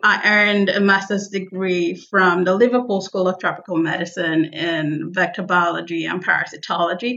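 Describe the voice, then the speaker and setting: Over noticeable background noise, a woman talks at a moderate pace and medium pitch with fairly even intonation and hardly any pauses. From Nigeria. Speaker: vector biologist, assistant professor. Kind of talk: interview.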